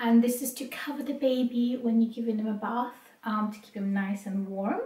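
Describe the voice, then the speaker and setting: A woman with a British accent speaks at a moderate pace with fairly even intonation and big swings in loudness. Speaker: vlogger. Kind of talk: product haul vlog. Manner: hesitant with fillers.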